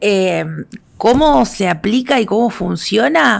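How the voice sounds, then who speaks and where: A woman at a medium pitch speaks very slowly with lively intonation. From Argentina, Santa Fe. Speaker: activist and educator. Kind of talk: interview conversation.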